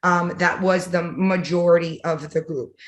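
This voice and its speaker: A woman speaks in a Miami accent at a fairly low pitch. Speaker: fraternity alumna working in tech. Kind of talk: panel discussion.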